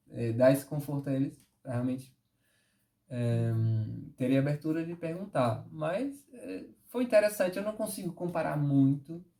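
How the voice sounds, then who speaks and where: At a moderate pace with long, frequent pauses, a man speaks in a dark, mellow, somewhat breathy tone with lively intonation. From Northeast Brazil. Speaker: dancer and tap and forró teacher. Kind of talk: interview answer. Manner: upbeat, good-humoured.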